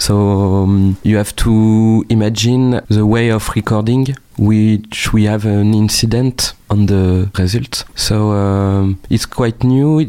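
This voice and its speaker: A man's fairly low voice with a French accent, very slow in pace and fairly even in intonation. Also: very even loudness. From northern France. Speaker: musician. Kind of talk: interview. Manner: hesitant, many fillers.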